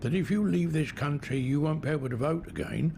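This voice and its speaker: This is a man with a fairly high pitch. His voice is somewhat breathy. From London. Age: 80s+. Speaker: war veteran. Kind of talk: interview answer.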